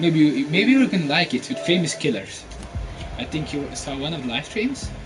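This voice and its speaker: A fairly high-pitched man's voice swings very widely in pitch, with audible room echo and noticeable background noise. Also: moderate pace. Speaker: gamer streamer. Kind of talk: live gameplay stream. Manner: halting; quiet.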